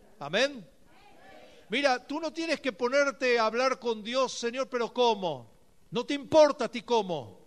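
A man speaks at an extremely high pitch. His pace is fairly slow. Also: ordinary pitch variation. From Argentina, Buenos Aires area. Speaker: pastor. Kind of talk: sermon.

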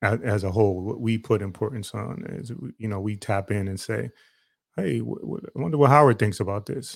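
With an unremarkable speaking voice, a man talks at medium pitch and a fairly quick pace with ordinary pitch variation, in a very clean recording with a silent background. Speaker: podcast co-host. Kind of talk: casual chat.

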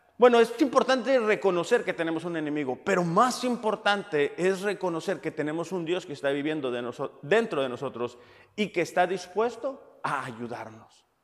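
A man speaks in a high pitch. His pitch swings very widely. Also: moderate pace. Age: 30s. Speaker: pastor. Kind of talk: sermon.

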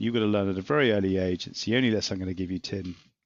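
A man with an English accent talks in a fairly low voice, his pitch varying in an ordinary way. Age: 50s. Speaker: property business executive. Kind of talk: interview. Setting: remote recording during lockdown.

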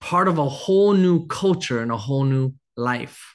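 Here a man talks with ordinary pitch variation. The background is quiet. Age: 30s. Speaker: pastor. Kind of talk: sermon.

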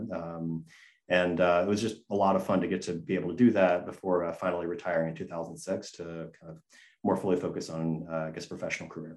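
A man with an American accent speaks in a very deep, low pitch at a fairly quick pace. His intonation is fairly even, and the background is quiet. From US South, Gainesville, Georgia. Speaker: design firm founder. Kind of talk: interview. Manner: halting.

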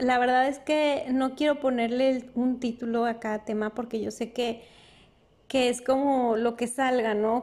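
At a very slow pace, a woman speaks in a high pitch with monotone, flat intonation. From northern Mexico, Durango. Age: 30s. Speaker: podcast host. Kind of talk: casual monologue. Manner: hesitant, with fillers.

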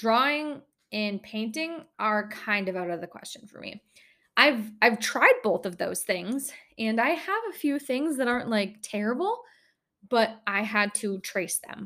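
In an Upper Midwest accent, a woman with a fairly high pitch and a bright, sharp tone speaks at a fairly slow pace with lively intonation and big swings in loudness. The recording is very clean, with a silent background. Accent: Upper Midwest American. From northern Minnesota. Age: 20s. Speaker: podcast host. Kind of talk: casual monologue. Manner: giggly, laughs often.

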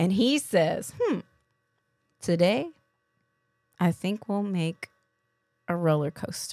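A woman with a medium pitch speaks at a very slow pace, with long, frequent pauses. Her intonation is lively, and the sound is dry and close, with no echo. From Kentucky, US South. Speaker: podcast co-host, graduate student. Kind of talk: casual podcast chat.

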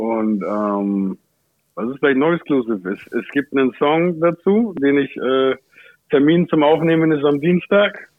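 A man's fairly high, plain, everyday voice, at a fairly slow pace with lively intonation. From Germany, Ansbach (Franconia). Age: 30s. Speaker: rapper. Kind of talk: casual chat.

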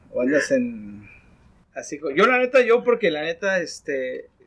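A man's voice with very wide pitch swings. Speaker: podcast host. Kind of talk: casual chat.

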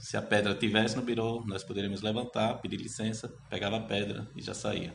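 Monotone, flat intonation comes at a moderate pace, with audible room echo in the space. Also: man. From Brazil, Sergipe (Itabaiana, rural). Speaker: history researcher. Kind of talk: interview.

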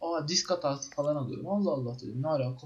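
This man's voice is somewhat breathy. He is fairly high-pitched, with ordinary pitch variation. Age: 20s. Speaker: podcast co-host, web developer. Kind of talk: casual chat. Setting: online voice call.

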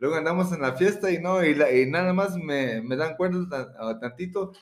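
Here a man speaks at a moderate tempo. His pitch shifts in an ordinary way. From Florida, US. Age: 30s. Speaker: rapper. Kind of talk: casual chat. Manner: halting.

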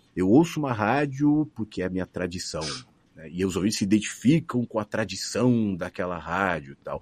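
Against a quiet background, a man with a fairly low pitch speaks at a moderate pace, with very wide pitch swings and big swings in loudness. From Brazil, São Paulo. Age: 40s. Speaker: radio broadcaster. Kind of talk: casual interview.

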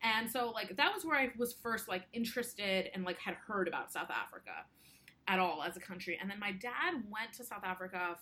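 With noticeable background noise, a woman speaks at a fairly quick pace with ordinary pitch variation. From US, Indian immigrant family. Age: 20s. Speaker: lawyer and activist. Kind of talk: interview. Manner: casual, many filler words.

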